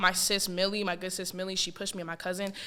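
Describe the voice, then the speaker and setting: Very fast and animated, a woman with an American accent speaks in a bright, sharp tone. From US West Coast, San Francisco Bay Area. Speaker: rapper. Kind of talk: casual chat. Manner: loud.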